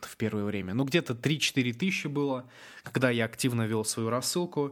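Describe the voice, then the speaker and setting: With ordinary pitch variation, a plain, everyday voice speaks at a moderate pace. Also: man. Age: 20s. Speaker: internet entrepreneur. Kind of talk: webinar talk. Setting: online webinar.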